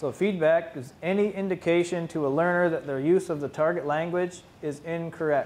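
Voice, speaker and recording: A man talks at a moderate pace, with a high pitch for a man and fairly even intonation. He leaves hardly any pauses. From Mohawk territory, Ontario, Canada. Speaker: Mohawk language teacher and PhD student; Mohawk language teacher. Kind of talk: conference presentation. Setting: conference room with audience. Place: classroom. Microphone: camera far.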